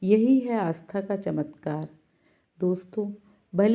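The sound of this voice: The speaker uses an unforced reading voice. Behind it, the background stays quiet.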